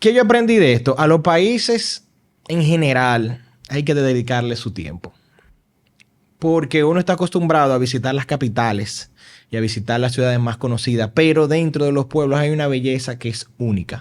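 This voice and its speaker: A man's medium-pitched voice at a moderate pace, with lively intonation. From Dominican Republic. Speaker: travel podcast host. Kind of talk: casual chat, travel storytelling. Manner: animated.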